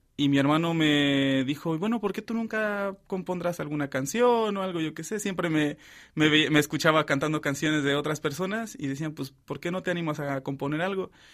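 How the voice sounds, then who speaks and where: A man talks at a moderate pace in a fairly high voice, with ordinary pitch variation. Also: very clean recording, silent background. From Mexico. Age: 20s. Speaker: seminarian. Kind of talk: testimony. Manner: halting.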